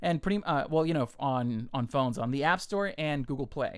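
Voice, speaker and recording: A man with a plain, everyday voice speaks at a fairly quick pace, pitched fairly high, with lively intonation. The recording is very clean, with a silent background. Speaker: podcast co-host. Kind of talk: casual chat.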